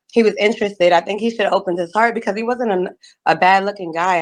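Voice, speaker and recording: Here a woman talks at a very fast pace. Her voice is medium in pitch with fairly even intonation. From New York. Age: 30s. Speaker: dating show contestant. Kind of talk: casual chat.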